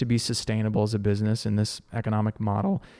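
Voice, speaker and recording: Fairly quick and flat in a monotone, a man speaks with a fairly low, dark, mellow voice. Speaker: podcast host. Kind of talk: casual interview. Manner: talkative.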